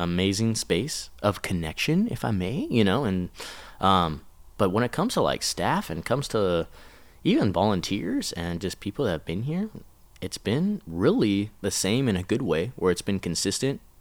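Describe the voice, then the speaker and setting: A man with a normal speaking voice talks at a moderate pace and fairly low pitch. His intonation is lively, and the recording is very clean with a silent background. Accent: American. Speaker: children's pastor. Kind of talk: casual chat.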